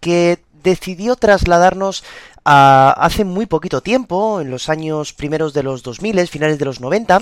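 This man has a high pitch and lively intonation. He talks at a fairly slow pace. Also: dry, close sound with no echo. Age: 20s. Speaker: music podcast host. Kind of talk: podcast narration.

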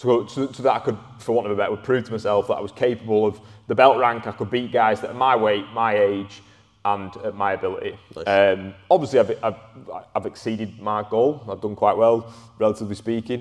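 Fairly quick delivery with a Lancashire accent and fairly even intonation. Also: man, medium pitch for a man. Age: 20s. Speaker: strength and conditioning coach. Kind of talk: casual chat.

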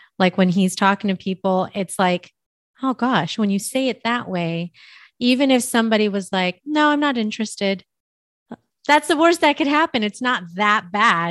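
Against a quiet background with a dry, close sound and no echo, a woman with an American accent uses a normal speaking voice, fairly high in pitch, lively in intonation and moderate in pace. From US West Coast, San Francisco Bay Area. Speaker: podcast host and mindset coach. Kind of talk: casual interview chat. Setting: remote call.

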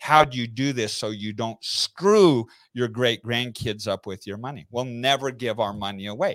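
Dry and close with no echo, a very clean recording with a silent background captures a man of medium pitch using an ordinary speaking voice with ordinary pitch variation at a moderate pace. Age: 50s. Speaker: entrepreneur. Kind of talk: interview. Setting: live stream.

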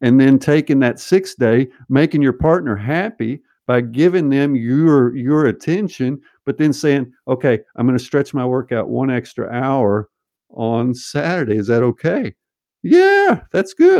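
Over a quiet background, a man with an American accent uses a normal speaking voice, fairly high in pitch, with lively intonation at a fairly slow pace and a dry, close sound with no echo. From US South (Arkansas). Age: 50s. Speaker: sports scientist. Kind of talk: casual interview.

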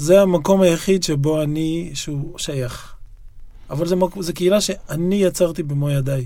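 The pace is moderate, the tone dark and mellow, and the pitch varies an ordinary amount. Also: man. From Israel, Yokneam. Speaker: writer and poet. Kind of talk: interview conversation. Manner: halting, frequent repetitions and fillers.

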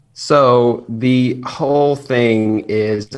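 A man of medium pitch with an American accent and fairly even intonation, over noticeable background noise. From US South. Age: 30s. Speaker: nurse anesthetist and YouTuber. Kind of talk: casual chat.

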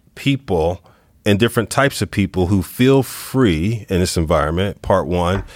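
At a moderate pace, a man with a normal speaking voice and fairly low pitch talks at very even loudness, the sound dry and close with no echo. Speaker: podcast host. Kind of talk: interview conversation.

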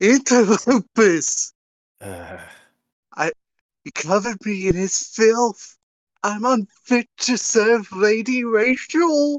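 A put-on character voice, squeaky and fairly high in pitch. It moves at a very slow pace with long, frequent pauses. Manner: anime mascot voice.

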